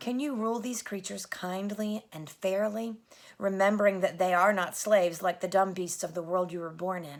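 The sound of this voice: What we hear is an unforced reading voice.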